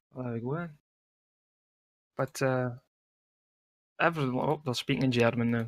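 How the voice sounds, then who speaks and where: Speaking with a Scottish accent, a man keeps a moderate pace and fairly even intonation, with long, frequent pauses. The sound is dry and close, with no echo. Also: medium pitch for a man. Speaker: esports caster. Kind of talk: live commentary. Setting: live stream. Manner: casual.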